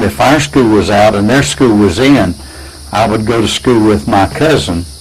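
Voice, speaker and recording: Over noticeable background noise, a man with an American accent talks at a moderate pace in a fairly low pitch, his intonation lively. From Florida. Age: 80s+. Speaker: pastor. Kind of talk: casual interview. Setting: at home. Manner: halting, repetitive.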